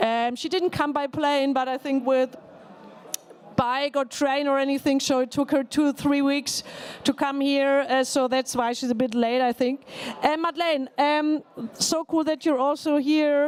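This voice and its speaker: A high-pitched woman's voice at a fairly slow pace, flat and monotone, with very even loudness over noticeable background noise. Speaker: politician, panel moderator. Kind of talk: panel moderation. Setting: conference pavilion.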